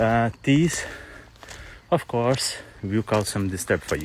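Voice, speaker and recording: The speech comes at a very slow pace with a non-native accent. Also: man. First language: not English. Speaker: spiritual vlogger. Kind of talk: casual vlog monologue while walking. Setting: outdoors, hiking uphill. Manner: halting, many fillers and repeats.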